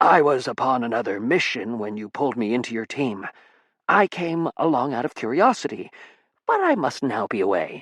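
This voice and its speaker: Recorded dry and close with no echo, a raspy put-on character voice moves at a moderate pace with lively intonation. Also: man, medium pitch for a man. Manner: formal, disguising own voice.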